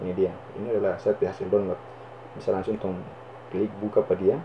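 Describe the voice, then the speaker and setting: At a very fast pace, a man talks with a North Maluku accent. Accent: North Maluku (Ternate) Malay. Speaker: YouTuber. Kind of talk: screen-recorded tutorial.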